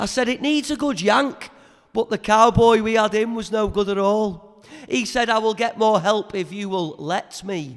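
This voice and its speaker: A man speaks at a moderate pace with a Liverpool accent. His pitch is high, with ordinary variation. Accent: Liverpool (Scouse). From Merseyside. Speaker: spoken word poet. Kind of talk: poetry performance. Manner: energetic.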